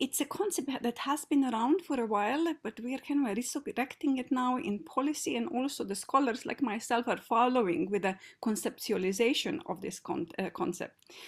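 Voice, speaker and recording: The speaker talks at a moderate pace with lively intonation over a quiet background. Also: woman. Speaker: keynote speaker. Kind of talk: lecture. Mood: warm, enthusiastic. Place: home room.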